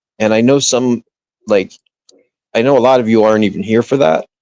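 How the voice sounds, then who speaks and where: A man talks with a New Jersey accent. The sound is dry and close, with no echo. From northern New Jersey. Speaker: livestreamer. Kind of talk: casual chat. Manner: halting, many restarts.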